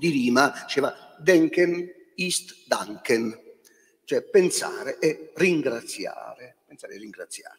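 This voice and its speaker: A man is speaking. He goes at a very slow pace. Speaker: bishop and moderator. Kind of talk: moderated debate. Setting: stage with audience.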